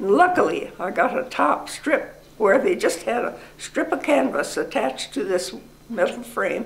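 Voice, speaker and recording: A woman with very wide pitch swings at a fairly slow pace, amid noticeable background noise. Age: 80s+. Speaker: war veteran. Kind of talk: interview answer.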